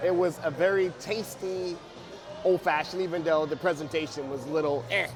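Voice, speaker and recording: With music in the background and audible room echo, a man with a high voice speaks at a fairly quick pace. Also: ordinary pitch variation. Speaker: guest on a food review show. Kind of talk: casual chat. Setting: restaurant.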